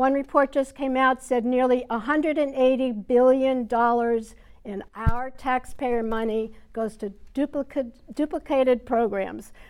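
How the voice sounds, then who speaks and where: Here a woman has an American accent and a high pitch. She talks at a fairly slow pace with fairly even intonation. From New York, Westchester. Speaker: congressional candidate, psychologist. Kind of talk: political debate. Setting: TV studio debate.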